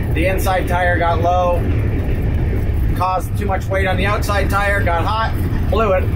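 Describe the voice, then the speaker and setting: Loud background noise sits under speech at a moderate pace. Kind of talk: casual vlog chat. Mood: wry, slightly rueful. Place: car.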